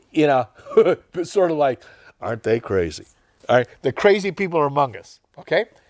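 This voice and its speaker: Pitched fairly high, a man speaks in an animated tone at a fairly quick pace, his pitch swinging very widely between long, frequent pauses, in a dry, close sound with no echo. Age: 70s. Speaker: TV show host. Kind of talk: casual interview chat. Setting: TV studio.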